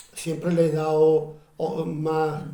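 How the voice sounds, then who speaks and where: Very slow speech in an Andalusian accent, over noticeable background noise. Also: man. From Utrera, Andalusia, Spain. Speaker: actor, presenter and writer. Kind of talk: book presentation talk.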